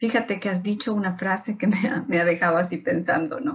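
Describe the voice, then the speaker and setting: This is a normal speaking voice, a woman's, at medium pitch. She goes at a moderate pace with ordinary pitch variation. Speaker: interviewer. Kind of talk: interview host talk.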